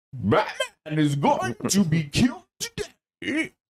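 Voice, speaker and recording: At a very slow pace, a put-on character voice speaks in a middle pitch. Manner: menacing.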